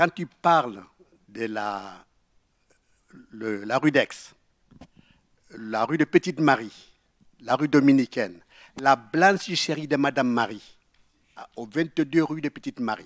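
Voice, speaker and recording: A man's medium-pitched voice at a very slow pace, with lively intonation, long, frequent pauses, and a dry, close sound with no echo. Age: 80s+. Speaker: audience member. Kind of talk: audience testimony.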